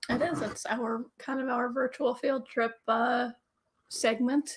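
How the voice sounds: Using a put-on character voice, a woman speaks raspy and croaky at a high pitch and a fairly slow pace.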